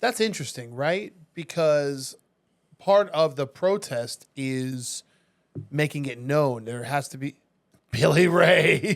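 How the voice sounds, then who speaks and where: Speaking at a very slow pace with long, frequent pauses, a man with an American accent and a fairly high pitch shows ordinary pitch variation and big swings in loudness. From Las Vegas, US. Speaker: real estate agent and food influencer. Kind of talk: casual chat. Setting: podcast studio.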